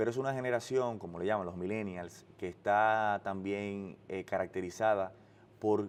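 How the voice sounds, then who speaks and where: Fairly even intonation and a moderate pace from a man with a fairly low voice. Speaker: political spokesperson. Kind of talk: interview. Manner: halting, frequent restarts.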